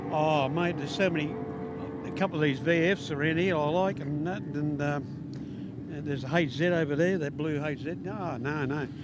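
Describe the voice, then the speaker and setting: An Australian accent comes through with fairly even intonation. There is audible room echo and noticeable background noise. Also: man. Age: 60s. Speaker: spectator and amateur drag racer. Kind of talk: trackside interview. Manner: halting.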